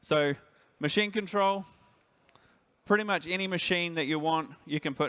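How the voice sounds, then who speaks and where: A man with a New Zealand accent, moderate pace and ordinary pitch variation, on a very clean recording with a silent background. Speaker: industry director. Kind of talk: conference presentation.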